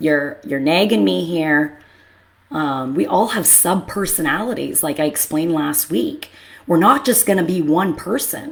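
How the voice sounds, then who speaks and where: A woman speaks loudly at a moderate pace, her fairly low voice showing vocal fry. Her pitch swings very widely. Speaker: therapist. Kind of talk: casual monologue. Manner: animated.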